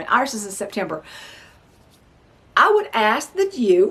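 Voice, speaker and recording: A woman speaks with a bright, sharp tone. Her pitch swings very widely. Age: 60s. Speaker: novelist and homesteader. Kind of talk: casual vlog talk. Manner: halting, with frequent fillers.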